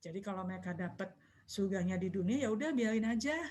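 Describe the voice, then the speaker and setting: Somewhat breathy female speech with lively, varied intonation. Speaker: Islamic religious teacher. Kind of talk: online religious study talk. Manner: quiet. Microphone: too quiet, far from mic.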